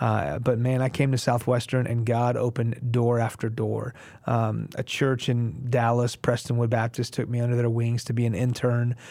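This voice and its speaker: Speaking at a moderate pace with hardly any pauses, a man uses a dark, mellow tone at a medium pitch, his intonation monotone and flat and his loudness very even. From Houston area, Texas, US (Iranian family, early childhood in Iran). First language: Farsi. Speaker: pastor. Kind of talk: interview, testimony.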